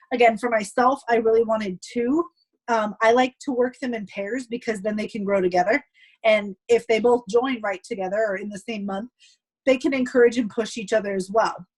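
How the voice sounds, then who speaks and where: A woman speaks at a fairly quick pace in a fairly high pitch, and her voice is somewhat breathy. Her intonation is fairly even, and the sound is dry and close with no echo. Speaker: direct sales team leader. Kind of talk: team call presentation. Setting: group call. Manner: fast.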